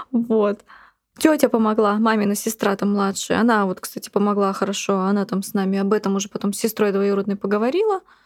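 Speaking at a fairly quick pace, a woman with a plain, everyday voice keeps her medium pitch in fairly even intonation. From Buryatia, Russia. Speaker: blogger, mother living with HIV. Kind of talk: personal testimony interview.

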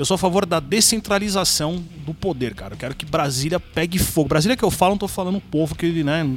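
A man talks at a very fast pace, his fairly high pitch showing ordinary pitch variation. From São Paulo, east zone (Penha). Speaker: YouTuber and video editor. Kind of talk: casual chat. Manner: halting, repeats words.

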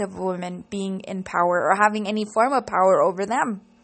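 Woman at a moderate pace with fairly even intonation, music playing in the background. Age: 30s. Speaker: podcaster and local political activist. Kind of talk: solo monologue podcast.

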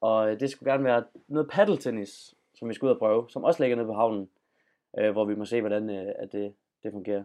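Over a quiet background, a man talks fairly quickly with fairly even intonation. His medium-pitched voice has a dark, mellow tone. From Denmark, Funen. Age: 20s. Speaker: journalism student and podcast host. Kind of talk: casual chat. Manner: halting.

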